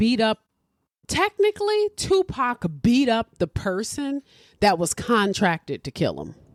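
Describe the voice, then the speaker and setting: Her fairly high voice moves in very wide pitch swings at a very slow pace, the woman recorded dry and close with no echo on a very clean recording with a silent background. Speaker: podcast host. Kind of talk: casual chat.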